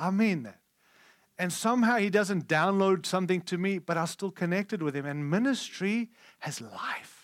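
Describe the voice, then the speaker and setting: This man speaks at a moderate pace with a high pitch and ordinary pitch variation. The recording is very clean, with a silent background. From Africa. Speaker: preacher. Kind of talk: sermon. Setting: church conference with audience.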